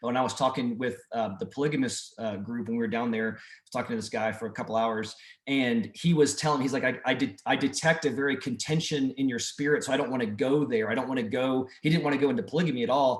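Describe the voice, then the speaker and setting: This man talks at a very fast pace with hardly any pauses. His pitch is medium with ordinary variation. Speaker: mission trip leader. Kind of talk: group video call briefing. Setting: video call.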